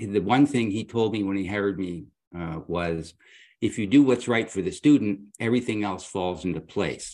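A man speaks in an ordinary speaking voice with fairly low pitch, ordinary pitch variation, and a moderate pace against a quiet background. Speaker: guest co-host, former university president. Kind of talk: casual interview.

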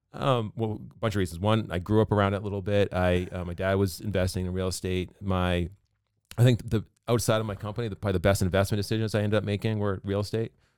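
Talking at a very fast pace with fairly even intonation, the speaker has an American accent on a very clean recording with a silent background. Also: man, fairly low pitch for a man. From Massachusetts (Pembroke). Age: 40s. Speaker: business owner. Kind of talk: casual chat.

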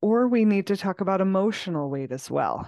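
The tone is soothing and calm. The background is quiet. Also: woman. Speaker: podcast host and coach. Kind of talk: guided meditation. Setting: video recording for YouTube and podcast. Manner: soothing, slow and calm; gentle, coaxing and unhurried.

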